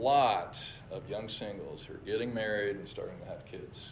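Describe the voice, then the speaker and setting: Noticeable background noise and audible room echo surround a man's speech. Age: 60s. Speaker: church leader. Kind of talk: church presentation with slides.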